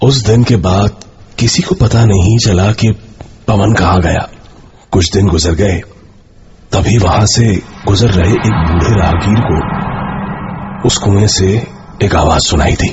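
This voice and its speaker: Speaking at a fairly slow pace, a man puts on a character voice pitched fairly low. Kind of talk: horror narration. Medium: audio drama. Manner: ominous, measured.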